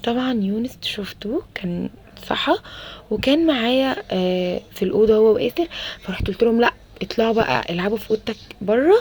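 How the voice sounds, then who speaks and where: A soft-spoken woman with an Alexandria accent talks with lively intonation over noticeable background noise. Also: fairly high pitch for a woman, moderate pace. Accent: Egyptian Arabic (Alexandria). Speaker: homemaker vlogger, mother. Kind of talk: casual vlog voiceover. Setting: home balcony at night. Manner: halting, many fillers.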